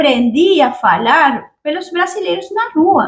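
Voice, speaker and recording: Speaking with a Spanish accent, a woman uses a high pitch with very wide pitch swings. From Argentina. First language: Spanish (speaking Portuguese). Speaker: YouTuber, immigrant. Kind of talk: casual chat; storytelling.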